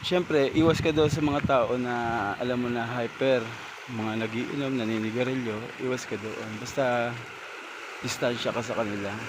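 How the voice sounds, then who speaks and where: A man at a medium pitch with fairly even intonation, plus noticeable background noise and audible room echo. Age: 40s. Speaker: travel vlogger. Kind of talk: casual vlog monologue. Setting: outdoors by irrigation canal and fields.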